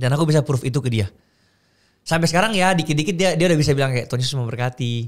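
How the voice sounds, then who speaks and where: A man talks at a very fast pace with a fairly high pitch and ordinary pitch variation against a quiet background. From Makassar, Indonesia; Indonesia. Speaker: content creator; podcast guest. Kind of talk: casual chat. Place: studio. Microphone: studio mic.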